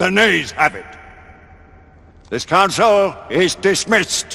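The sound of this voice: In a put-on character voice, a man speaks slowly at a high pitch with a bright, sharp tone, a slightly husky edge, vocal fry and lively intonation.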